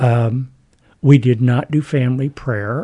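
Somewhat breathy, the voice has a dark, mellow tone and an American accent. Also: man. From US South, West Virginia (Huntington, Wayne County). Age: 70s. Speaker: retired educator. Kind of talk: testimony. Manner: halting.

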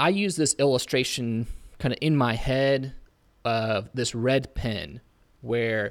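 A man with an unremarkable speaking voice and an American accent speaks at medium pitch with lively intonation, on a very clean recording with a silent background. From Indiana, US Midwest. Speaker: preacher and podcast co-host. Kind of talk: Bible study discussion.

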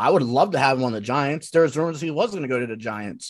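In a normal speaking voice with an American accent, a man talks at a medium pitch with lively intonation over a quiet background. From US Northeast, Philadelphia area. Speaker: guest co-host, football fan. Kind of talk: casual sports chat.

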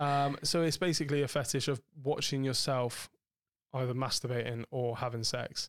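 A man's ordinary speaking voice at medium pitch, with fairly even intonation, very even loudness, a moderate pace, and a dry, close sound with no echo. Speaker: podcast host. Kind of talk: casual chat. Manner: swears a lot, joking.

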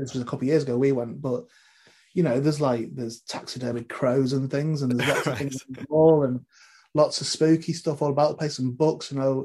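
A man with a northwest English accent, fairly high in pitch, dark and mellow in tone, at a very fast pace. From northwest England. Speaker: comedy podcast co-host and film star. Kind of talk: casual interview. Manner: halting, many repeated words.

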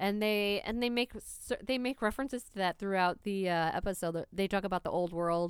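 In a plain, everyday voice, a woman with an American accent talks at a fairly quick pace and medium pitch, with ordinary pitch variation, big swings in loudness, hardly any pauses and a very clean recording over a silent background. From New York City, South Bronx. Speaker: podcast co-host. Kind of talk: casual chat.

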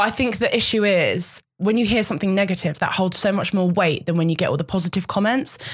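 A woman talks at a very fast pace with hardly any pauses, her loudness very even. Her medium-pitched voice is somewhat breathy. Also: ordinary pitch variation, very clean recording, silent background. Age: 20s. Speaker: model. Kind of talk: casual chat.

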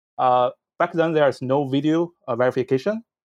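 With a Chinese accent, a man speaks at a moderate pace. The background is quiet, and the sound is dry and close with no echo. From northern China near Beijing. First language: Mandarin Chinese. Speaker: online seller, former reporter. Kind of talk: casual interview. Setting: video call.

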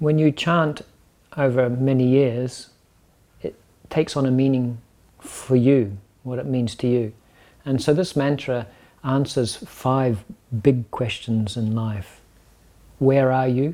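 Pausing long and often, a man with a New Zealand accent speaks at a very slow pace, medium in pitch, dark and mellow in tone, his intonation fairly even. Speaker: yoga teacher. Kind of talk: casual chat.

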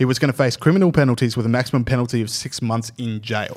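Very fast in pace, a man with an Australian accent speaks with ordinary pitch variation. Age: 20s. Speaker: podcast host. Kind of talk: casual chat. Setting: studio.

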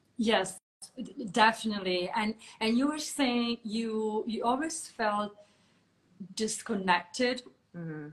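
With an Italian accent, a woman speaks at a very slow pace and fairly high pitch, using ordinary pitch variation and long, frequent pauses. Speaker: podcast host. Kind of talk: interview. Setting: video call.

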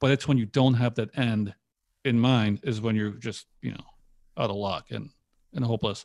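This man speaks with a Polish accent. His pace is moderate. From Poland, moved to US at ten. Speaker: online entrepreneur. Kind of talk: casual interview.

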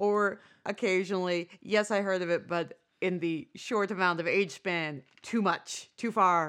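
A normal speaking voice with an American accent moves at a fairly slow pace with fairly even intonation. The recording is very clean, with a silent background. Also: woman, medium pitch for a woman. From United States. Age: 40s. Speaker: podcast co-host. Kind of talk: casual chat.

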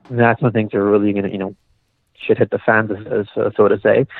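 This man has an unremarkable speaking voice at a fairly low pitch. His intonation stays fairly even. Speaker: doctor. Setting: phone call.

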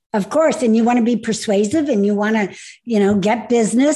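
Somewhat breathy and fairly high in pitch, a woman speaks in a warm, upbeat tone. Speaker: podcast host and speaker trainer. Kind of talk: interview, host intro. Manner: warm, upbeat, enthusiastic.

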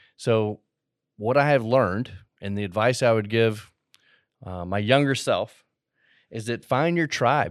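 On a very clean recording with a silent background and a dry, close sound with no echo, a man of medium pitch speaks at a fairly slow pace with ordinary pitch variation. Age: 40s. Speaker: podcast host. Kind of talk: casual monologue. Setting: studio.

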